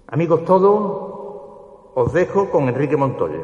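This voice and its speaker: Fairly high male speech, ordinary in its pitch variation. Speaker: presenter introducing the orator. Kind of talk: formal oratorical introduction.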